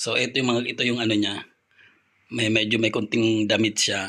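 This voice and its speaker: Fairly even intonation carries a tone that is bright and sharp. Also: man. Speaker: vlogger. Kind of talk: casual vlog chat. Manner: soft-spoken, keeping voice down.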